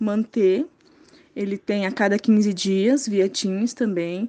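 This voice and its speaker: The tone is dark and mellow, set against a quiet background. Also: woman. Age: 20s. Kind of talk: interview testimony.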